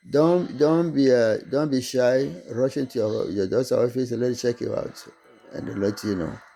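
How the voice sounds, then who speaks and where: With music in the background, a man at a medium pitch talks at a moderate pace, his pitch varying in an ordinary way. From Togo, West Africa. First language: not English (French schooling). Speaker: online business vlogger. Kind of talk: casual monologue to camera. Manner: halting, repetitive.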